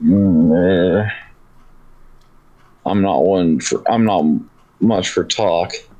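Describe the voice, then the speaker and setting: Very slow, with long, frequent pauses, a man's put-on character voice rumbles at a very deep, low pitch, keeping very even loudness and fairly even intonation. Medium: actual play. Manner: grumbling, curt.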